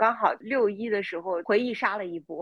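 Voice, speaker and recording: At a moderate pace, a woman talks in a plain, everyday voice of medium pitch. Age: 30s. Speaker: podcast co-host. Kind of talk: casual chat.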